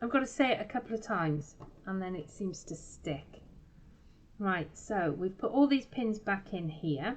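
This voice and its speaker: With a lively, rising-and-falling delivery, a woman talks in a somewhat breathy voice. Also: medium pitch for a woman, moderate pace. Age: 50s. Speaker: craft shop owner and tutor. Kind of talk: craft tutorial livestream. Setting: Facebook live broadcast. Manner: casual, chatty.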